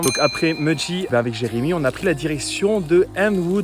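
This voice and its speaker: A man speaks with music playing in the background. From France, Savoie. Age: 30s. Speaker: travel vlogger, farm worker. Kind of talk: casual vlog narration. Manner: casual, many fillers.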